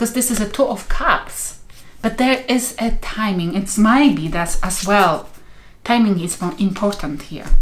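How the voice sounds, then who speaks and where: A woman with a non-native accent speaks fairly slowly in a medium pitch. Her intonation is lively, and room echo is audible. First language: not English. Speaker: tarot reader. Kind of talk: tarot reading. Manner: halting.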